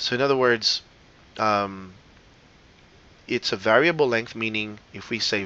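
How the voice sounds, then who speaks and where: A man talks with a non-native accent. His intonation stays fairly even. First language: not English. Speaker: teacher. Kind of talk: lecture. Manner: casual, many fillers.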